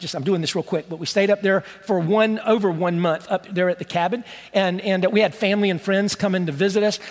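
A man's animated, high-pitched voice at a very fast pace. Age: 60s. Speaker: pastor. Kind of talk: sermon. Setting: church with congregation. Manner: conversational, animated.

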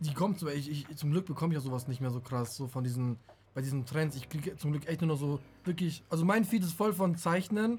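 A man talks at a fairly quick pace with a fairly high pitch. He has a normal speaking voice with ordinary pitch variation. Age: 20s. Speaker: podcast co-host. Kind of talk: casual chat.

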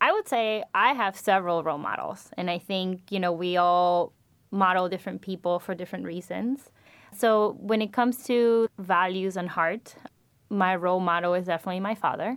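A woman with a Spanish accent speaks at a moderate pace. Her medium-pitched voice shows ordinary pitch variation. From Venezuela. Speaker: MBA student. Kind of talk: interview. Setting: studio.

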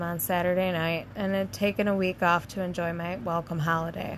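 Her pitch is medium and varies in an ordinary way. A woman talks at a moderate pace in a plain, everyday voice. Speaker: podcast host reading campfire stories. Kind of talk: ghost story telling, read aloud from written campfire tales, with casual chat around it. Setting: camping outdoors, recording at campsite. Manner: casual and playful when chatting with co-host.

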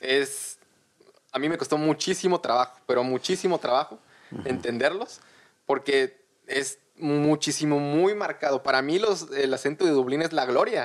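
Using a normal speaking voice, a man with a fairly high pitch talks at a moderate pace, his pitch varying in an ordinary way. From Mexico, Tabasco (Villahermosa). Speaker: guest sharing immigrant experience. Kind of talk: casual chat.

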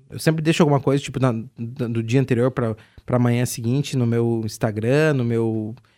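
A man's dark, mellow tone with fairly even intonation, in a very clean recording with a silent background. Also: medium pitch for a man, moderate pace. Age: 20s. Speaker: radio host. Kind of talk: casual chat. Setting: bar table.

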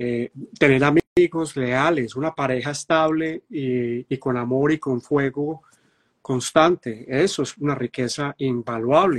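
In a Colombian Paisa accent, a man speaks at a very slow pace with a fairly high pitch and ordinary pitch variation, the sound dry and close with no echo over a quiet background. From Medellín, Colombia. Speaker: astrologer and show host. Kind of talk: live online talk show.

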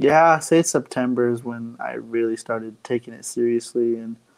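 A man speaks with hardly any pauses. His loudness swings widely. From Arizona, Navajo Nation. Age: 20s. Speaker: video game streamer. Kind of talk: casual interview. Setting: live-streamed podcast.

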